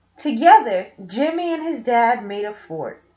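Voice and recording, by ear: With big pitch swings and a slightly mellow tone, a woman speaks fairly slowly in a fairly high voice as room echo is audible.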